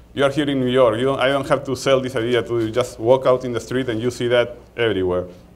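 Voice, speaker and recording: The speaker talks very fast with a Peruvian accent. Intonation stays fairly even. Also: man. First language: Spanish. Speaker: market research executive. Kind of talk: conference talk. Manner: halting, many repetitions.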